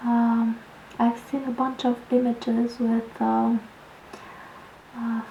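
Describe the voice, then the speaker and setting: A soft-spoken voice talks at a very slow pace amid noticeable background noise. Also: woman. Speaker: painter. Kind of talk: ASMR painting tutorial.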